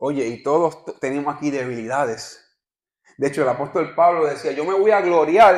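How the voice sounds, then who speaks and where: A man with a Puerto Rican accent, fairly high pitch, ordinary pitch variation and moderate pace. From Puerto Rico. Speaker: visiting pastor. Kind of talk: sermon.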